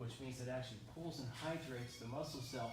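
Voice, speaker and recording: Fairly even intonation comes through over noticeable background noise and audible room echo. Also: man. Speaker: nutrition coach. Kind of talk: seminar lecture. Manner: fast.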